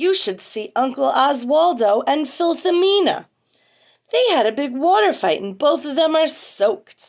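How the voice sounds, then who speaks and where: In a put-on character voice, a woman speaks with a grumpy tone. Her pitch is high and her pace moderate. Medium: read story. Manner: grumpy, gruff.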